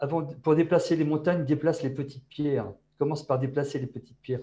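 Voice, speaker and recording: The man's voice is dark and mellow yet fairly high, with a somewhat breathy quality. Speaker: innovation manager at a bank, panelist. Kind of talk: online panel discussion.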